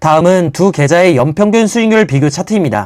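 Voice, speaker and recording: A man speaks with a high pitch and very wide pitch swings, captured in a very clean recording with a silent background. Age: 20s. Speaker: personal finance youtuber, office worker. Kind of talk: scripted narration. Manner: formal.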